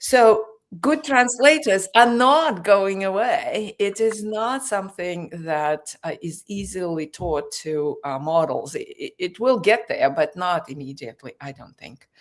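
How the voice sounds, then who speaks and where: In a Russian accent, a woman at medium pitch talks fairly slowly with hardly any pauses, her pitch swinging very widely and her loudness shifting a lot. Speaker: news show host. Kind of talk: panel discussion.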